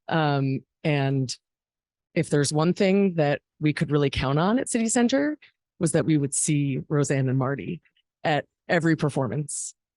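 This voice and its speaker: A shaky, very deep, low woman's voice at a moderate pace, with very even loudness, ordinary pitch variation, and a dry, close sound with no echo. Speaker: arts fundraising executive. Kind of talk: memorial speech. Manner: shaky voice.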